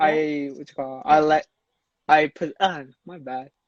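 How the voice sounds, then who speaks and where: A man speaks at a fairly slow pace in a fairly high voice with ordinary pitch variation. The background is quiet, and the sound is dry and close with no echo. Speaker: student club president. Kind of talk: casual chat. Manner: halting.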